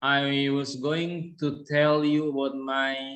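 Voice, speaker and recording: This man speaks with an Indonesian accent at a medium pitch. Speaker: university lecturer. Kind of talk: presentation. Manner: hesitant.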